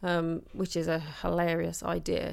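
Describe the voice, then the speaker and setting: Against a silent background on a very clean recording, the woman takes her words at a rather unhurried pace. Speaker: podcast co-host. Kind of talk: casual chat. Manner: loud.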